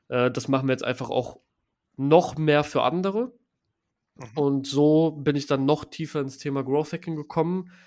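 Pausing long and often, a man with a fairly high pitch talks at a moderate pace with fairly even intonation, in a very clean recording with a silent background. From Düsseldorf, Germany. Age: 20s. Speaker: growth hacking agency founder. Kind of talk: interview. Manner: casual, many fillers.

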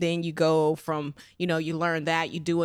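A woman with an American accent and a fairly low pitch speaks in a monotone, flat intonation on a very clean recording with a silent background. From Las Vegas, Nevada, US. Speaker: adult filmmaker and shop owner. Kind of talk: interview. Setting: in her shop.

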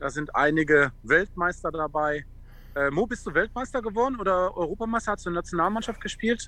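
In a raised, projected voice with a bright, sharp tone, a man with high pitch talks at a fairly quick pace with lively intonation. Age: 40s. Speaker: former footballer and charity founder. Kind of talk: casual chat.

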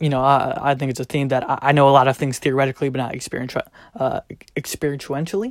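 A man talking very fast, his pitch fairly high, the sound dry and close with no echo. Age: young. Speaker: podcast host. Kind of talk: casual monologue with spoken word reading. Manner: relaxed, frequent fillers.

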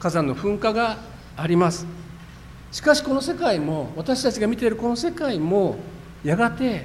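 The speaker's intonation is lively. Audible room echo and noticeable background noise come through. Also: man. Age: 50s. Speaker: pastor. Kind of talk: sermon.

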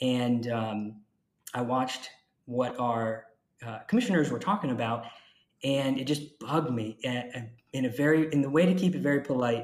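A man speaks in an ordinary speaking voice with an American accent. His pitch sits at a medium level, with ordinary variation, and his pace is moderate. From Jacksonville, Florida. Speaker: county commissioner. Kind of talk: interview.

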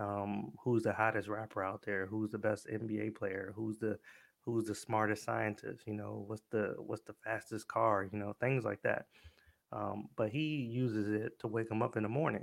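With an unremarkable speaking voice, a man talks at a moderate pace, his fairly low pitch carrying fairly even intonation. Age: 30s. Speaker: podcast host. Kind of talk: casual solo monologue. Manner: conversational, many fillers and repetitions.

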